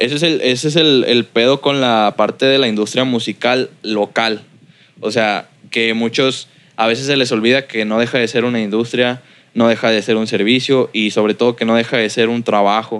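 A man with a Mexican accent speaks with very even loudness. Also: medium pitch for a man, fairly even intonation, moderate pace. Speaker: music producer. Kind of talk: casual interview. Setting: his recording studio.

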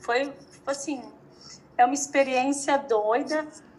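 Noticeable background noise accompanies a woman speaking very slowly. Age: 30s. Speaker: entrepreneur. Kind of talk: interview.

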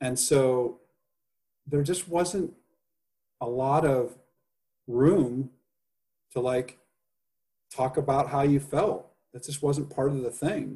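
Very slowly and with long, frequent pauses, a man speaks at a fairly high pitch with ordinary pitch variation and a dark, mellow, somewhat breathy tone. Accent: American. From US Midwest (Indiana). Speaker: podcast guest. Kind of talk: casual interview chat.

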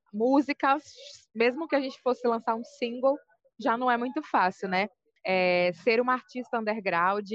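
In a dry, close sound with no echo, a woman has an unremarkable speaking voice, fairly high in pitch with ordinary pitch variation, at a moderate pace. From Brazil, Salvador, Bahia. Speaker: rapper and poet. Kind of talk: interview. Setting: on a break from dance class.

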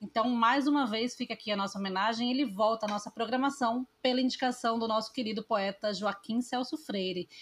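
Speaking at a fairly quick pace with hardly any pauses, a woman uses a plain, everyday voice at a fairly high pitch. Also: fairly even intonation. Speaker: podcast host. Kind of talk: casual chat.

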